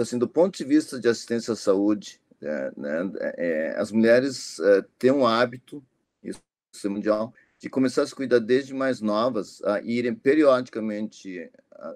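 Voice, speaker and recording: A man at medium pitch with lively intonation, big swings in loudness and a moderate pace. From Japan, moved to Brazil at 10. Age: 60s. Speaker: physician, ageing specialist. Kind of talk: interview. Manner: hesitant, many fillers.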